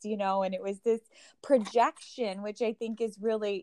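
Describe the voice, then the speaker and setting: Monotone, flat intonation at a moderate pace, in an American accent. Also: woman. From US South. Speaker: meditator. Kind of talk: casual interview.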